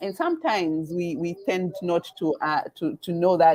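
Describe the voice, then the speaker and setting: Heard dry and close with no echo, a woman speaks with a Kenyan accent. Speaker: webinar host, event organizer. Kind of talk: live webinar promotion chat. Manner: halting, many fillers and repetitions.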